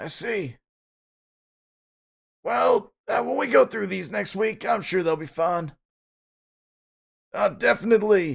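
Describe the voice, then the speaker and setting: Using a put-on character voice, a man speaks raspily at a high pitch and a fairly slow pace with long, frequent pauses. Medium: game stream. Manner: friendly, fatherly.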